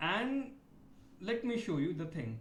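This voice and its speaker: An Indian accent with audible room echo. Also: man. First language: Hindi. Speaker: PhD research scholar. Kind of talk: video complaint monologue. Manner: halting, many fillers.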